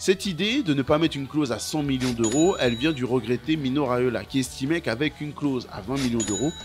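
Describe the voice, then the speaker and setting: Music plays in the background as a man talks at a fairly quick pace with hardly any pauses. His voice is medium in pitch, with lively intonation. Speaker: football YouTuber. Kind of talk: football documentary narration. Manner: animated.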